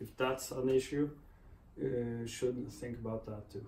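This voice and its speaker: The voice belongs to a man. His speech carries a non-native accent. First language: not English. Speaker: motorcycle vlogger. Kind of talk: product review vlog. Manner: hesitant, many fillers.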